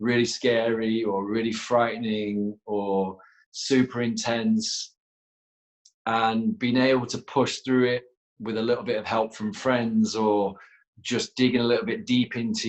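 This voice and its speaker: Flat and monotone, a man speaks with a northern English accent. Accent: northern English twang. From northern England, Leeds. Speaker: yoga teacher and former rugby player. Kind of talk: interview.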